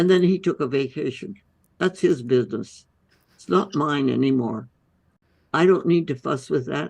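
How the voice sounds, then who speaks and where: With a very deep, low voice, a woman speaks in lively intonation, her loudness swinging widely between long, frequent pauses. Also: moderate pace. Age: 80s+. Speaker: holistic medicine physician. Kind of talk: interview answer.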